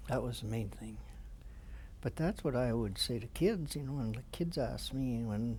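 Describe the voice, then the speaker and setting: With audible room echo, a man in a Canadian accent speaks at a medium pitch and moderate pace, showing vocal fry and ordinary pitch variation. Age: 70s. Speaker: war veteran. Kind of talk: interview. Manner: halting.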